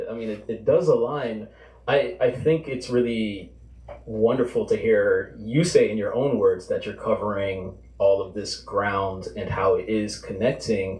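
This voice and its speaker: At a fairly slow pace, a man speaks with audible room echo. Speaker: fiction writer; event moderator. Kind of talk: interviewing the author. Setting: stage with audience. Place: shop.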